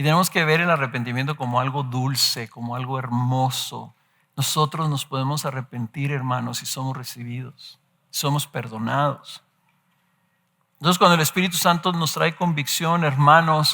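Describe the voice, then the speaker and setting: A man speaks at a fairly high pitch in a bright, sharp tone with ordinary pitch variation. His pace is moderate, and the recording is very clean with a silent background. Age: 60s. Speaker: pastor. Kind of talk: sermon.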